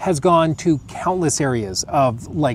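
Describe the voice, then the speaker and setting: Through noticeable background noise, a man with a fairly high pitch speaks with lively intonation. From United States. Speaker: gaming streamer. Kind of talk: casual chat.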